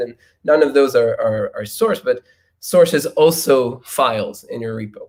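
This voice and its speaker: At a moderate pace, the speaker uses ordinary pitch variation with a non-native accent. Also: man. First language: not English. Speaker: software engineer giving keynote. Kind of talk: conference talk with live coding demo. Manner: halting, many fillers and repetitions.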